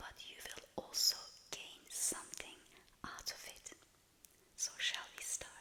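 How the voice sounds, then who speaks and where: Whispering in a calm tone, a woman speaks at a very slow pace with long, frequent pauses over noticeable background noise. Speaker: working corporate professional. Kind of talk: soft-spoken ASMR talk to camera about women at work. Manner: whispered, soft-spoken, calm.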